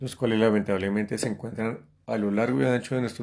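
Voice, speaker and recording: Fairly low in pitch, a man speaks at a fairly quick pace with ordinary pitch variation. It is a normal speaking voice. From Colombia. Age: 50s. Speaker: host's father, guest. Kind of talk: casual conversational podcast. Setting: sitting next to his daughter.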